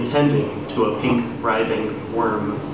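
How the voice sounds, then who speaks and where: Against noticeable background noise and audible room echo, a man speaks at a fairly slow pace with fairly even intonation. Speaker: poet at open mic. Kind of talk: poetry reading. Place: bar. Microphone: camera far.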